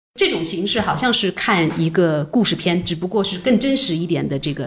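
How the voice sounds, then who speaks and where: A woman at fairly low pitch, lively in intonation and moderate in pace, over noticeable background noise. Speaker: film producer. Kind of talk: casual interview. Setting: office.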